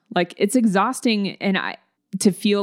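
A woman with an American accent talks at a moderate pace in a normal speaking voice, her pitch medium. The recording is very clean with a silent background, and the sound is dry and close with no echo. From US South, Alabama. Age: 40s. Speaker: singer-songwriter. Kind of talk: interview.

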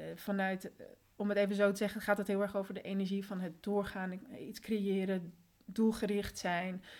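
Her intonation stays monotone and flat as the woman talks at a moderate pace. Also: medium pitch for a woman. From Netherlands, born in Colombia. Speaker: systemic coach. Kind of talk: casual interview.

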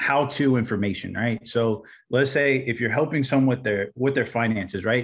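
A man speaks with a Midwestern American accent. His pace is fairly quick. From Indiana, US Midwest. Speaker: video content business owner. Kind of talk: casual interview chat.

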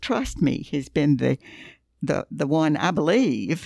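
Speaking very slowly in a Southern US accent, a woman with a very deep, low pitch and vocal fry swings her pitch very widely in a very clean recording with a silent background. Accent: Southern US (Georgia). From US South, Thompson, Georgia. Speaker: Bible teacher. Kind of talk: casual chat.

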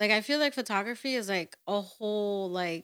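A woman's ordinary speaking voice, fairly high in pitch with ordinary pitch variation, at a moderate pace, in dry, close sound with no echo on a very clean recording with a silent background. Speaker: photographer. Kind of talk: casual chat.

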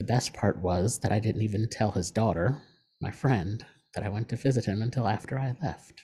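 A man speaks at a fairly quick pace with fairly low pitch, ordinary pitch variation, and a dark, mellow, somewhat breathy tone. The recording is very clean, with a silent background. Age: 40s. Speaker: podcast host. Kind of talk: personal monologue.

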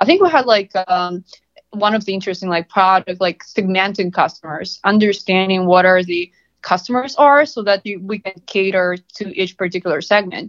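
A woman talks in a Russian accent at a medium pitch. Her pace is moderate and her pitch variation is ordinary. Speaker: marketing analytics consultant. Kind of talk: interview.

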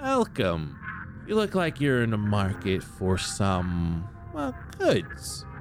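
A man puts on a character voice at a fairly low pitch, speaking very slowly while music plays clearly in the background. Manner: welcoming, coy salesy.

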